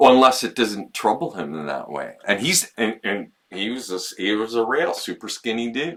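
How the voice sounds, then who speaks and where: Speaking at a moderate pace with hardly any pauses, a man with a medium pitch shows vocal fry and very wide pitch swings. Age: 60s. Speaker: podcast host. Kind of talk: casual chat. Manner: halting, many restarts.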